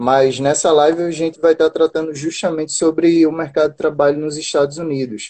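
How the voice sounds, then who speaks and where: The speaker goes at a fairly quick pace with hardly any pauses and monotone, flat intonation. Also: man, fairly high pitch for a man. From Brazil, Recife, Pernambuco. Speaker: job-listings channel host. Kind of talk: live stream interview.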